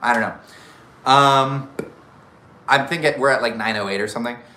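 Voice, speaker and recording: A man is speaking. Room echo is audible. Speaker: YouTuber doing live Q&A. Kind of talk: casual live stream chat. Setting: live stream. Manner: loud; animated, off the cuff.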